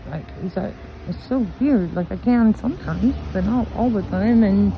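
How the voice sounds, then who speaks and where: With an American accent, a woman talks at a moderate pace amid noticeable background noise. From US West Coast, Oakland, California. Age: 50s. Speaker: spiritual vlogger. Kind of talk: personal monologue vlog. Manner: halting, many fillers.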